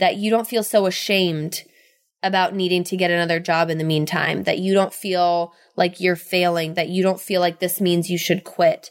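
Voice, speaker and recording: Against a silent background on a very clean recording, a woman with a fairly low pitch speaks at a moderate pace in an animated tone. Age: 20s. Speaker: podcast host, sales and marketing mentor. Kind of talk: solo podcast monologue. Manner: animated, frequent laughter; hesitant with many fillers.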